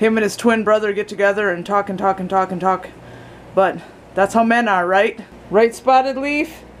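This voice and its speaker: There is light background noise behind this woman. She talks at a moderate pace with ordinary pitch variation. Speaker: family vlogger. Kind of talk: casual vlog chat. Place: home room. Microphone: phone near.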